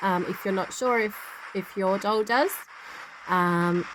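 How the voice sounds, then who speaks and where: A woman's medium-pitched voice over noticeable background noise. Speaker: paranormal investigator. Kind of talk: tutorial. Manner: loud and clear.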